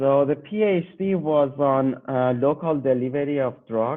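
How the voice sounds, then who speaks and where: This man speaks with a Persian accent. His pitch is fairly high, with ordinary variation. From Iran, Tehran. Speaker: PhD graduate researcher. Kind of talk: interview. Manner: hesitant, with fillers.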